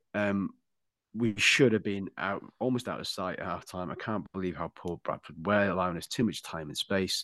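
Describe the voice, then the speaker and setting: A man uses an ordinary speaking voice with a fairly low pitch and ordinary pitch variation, at a moderate pace. The sound is dry and close with no echo, against a quiet background. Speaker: podcast host. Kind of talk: casual banter.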